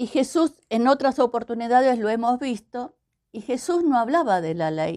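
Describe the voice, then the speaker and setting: A woman talks at a fairly slow pace, the sound dry and close with no echo. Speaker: pastor. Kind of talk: devotional message. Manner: hesitant, repeats words.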